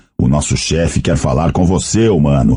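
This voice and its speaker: In a put-on character voice, a man talks at a moderate pace with a guttural sound and a very deep, low pitch. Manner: spitting the words, hostile.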